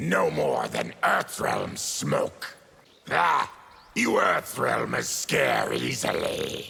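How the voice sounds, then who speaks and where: Very slowly and with very even loudness, a man growls in a put-on character voice. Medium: video game. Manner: gruff, grim.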